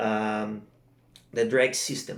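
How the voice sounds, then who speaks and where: This man has a non-native accent and fairly even intonation. He talks at a very slow pace. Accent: non-native English speaker. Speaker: kingfish jigging angler. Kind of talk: fishing gear tutorial to camera. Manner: casual, hesitant.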